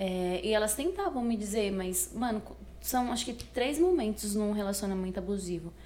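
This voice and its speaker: Somewhat breathy and dark, mellow in tone, a woman speaks at medium pitch with ordinary pitch variation and audible room echo. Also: moderate pace. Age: 20s. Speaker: podcast guest. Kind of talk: casual interview.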